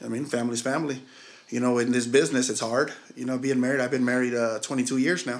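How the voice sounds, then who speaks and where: Amid audible room echo, a man with an American accent and medium pitch speaks at a very fast pace with fairly even intonation. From Missouri. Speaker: chef. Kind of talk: casual chat.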